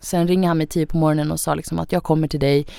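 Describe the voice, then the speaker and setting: Very deep, low pitch from a woman, her intonation fairly even. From Sweden. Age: young. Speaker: influencer, young single mother. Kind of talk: casual chat. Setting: studio.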